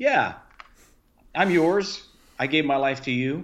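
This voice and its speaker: Using a plain, everyday voice, a man speaks at a fairly slow pace with ordinary pitch variation. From US South, Key West, Florida. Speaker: missionary and former pastor. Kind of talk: casual chat.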